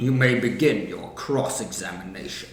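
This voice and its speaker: A man speaks in a put-on character voice at medium pitch. His pace is moderate, with a slight echo around him. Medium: fan dub. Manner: formal, deliberate.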